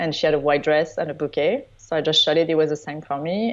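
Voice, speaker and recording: Someone speaks with a French accent at a moderate pace. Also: woman. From southern France (Provence). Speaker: wedding photographer. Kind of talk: interview.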